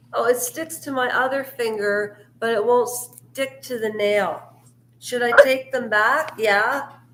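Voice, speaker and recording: Loud and high-pitched, a woman with a Canadian accent speaks at a fairly slow pace with fairly even intonation against noticeable background noise. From Canada. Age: 50s. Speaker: live streamer. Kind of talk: casual live stream chat. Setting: basement live stream.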